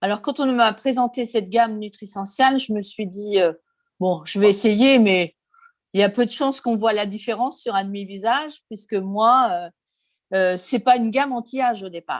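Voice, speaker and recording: A woman's plain, everyday voice, fairly high in pitch, with ordinary pitch variation at a moderate pace. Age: 60s. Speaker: customer giving testimonial. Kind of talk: testimony.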